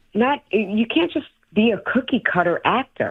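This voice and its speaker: Speaking at a fairly slow pace with a strong New York accent, a woman lets her pitch swing very widely. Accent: thick New York. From New York City, Brooklyn. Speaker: actor and stand-up comedian. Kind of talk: interview.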